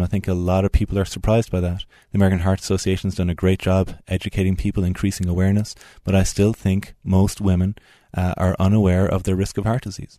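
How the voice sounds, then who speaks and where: Very fast and monotone, a man speaks with a very deep, low pitch and a dark, mellow tone. Behind him the background is quiet. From Ireland, Tipperary. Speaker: cardiologist. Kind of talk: radio interview. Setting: studio.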